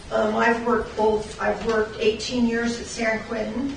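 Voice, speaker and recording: A woman with a fairly high voice is heard through noticeable background noise and audible room echo. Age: 60s. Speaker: corrections officer. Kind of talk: public comment. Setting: public meeting.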